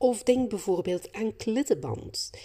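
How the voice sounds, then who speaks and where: In a Flemish accent, a woman speaks. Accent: Flemish Dutch. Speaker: creativity facilitator and podcast host. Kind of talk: solo podcast monologue. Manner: animated.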